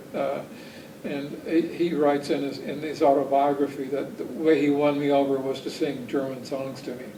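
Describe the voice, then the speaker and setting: A man speaks at a moderate pace in a fairly high pitch with monotone, flat intonation, over noticeable background noise and audible room echo. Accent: Southern US. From Alabama, US South (Huntsville). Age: 60s. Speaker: son of a rocket engineer, oral history interviewee. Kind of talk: oral history interview. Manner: hesitant, many fillers.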